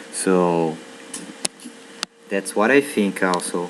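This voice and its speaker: A man speaks with a Brazilian Portuguese accent in a very deep, low pitch. His intonation is fairly even, and there is noticeable background noise. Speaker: university student. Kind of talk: vlog monologue. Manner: hesitant, with fillers.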